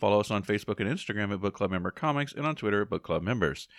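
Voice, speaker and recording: Delivered at a very fast pace, the speech has lively intonation. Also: man. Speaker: podcast co-host. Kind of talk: casual chat.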